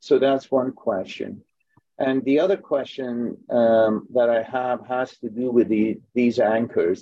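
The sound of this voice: Fairly even intonation runs through a voice with a dark, mellow tone. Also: man.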